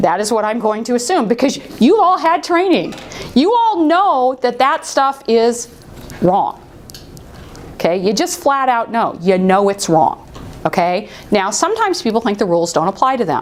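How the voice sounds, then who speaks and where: A woman speaks loudly and at a high pitch in an animated tone, her pitch swinging very widely. Noticeable background noise is present. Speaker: workplace harassment trainer. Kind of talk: training seminar.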